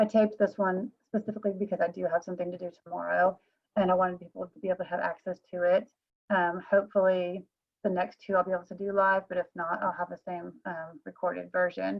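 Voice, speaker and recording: Delivered at a very fast pace, the speech has a monotone, flat intonation but big swings in loudness. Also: woman, medium pitch for a woman. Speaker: real estate trainer. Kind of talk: recorded training class. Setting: solo recorded video, no audience.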